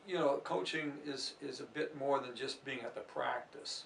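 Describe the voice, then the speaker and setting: A man's speech at a fairly slow pace. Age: 60s. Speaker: athletics coach. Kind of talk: interview. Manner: halting.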